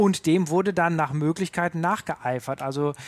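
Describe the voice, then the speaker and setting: A man speaks in an ordinary speaking voice at a moderate pace, with a fairly high pitch and ordinary pitch variation. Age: 30s. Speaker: punk music expert. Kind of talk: interview.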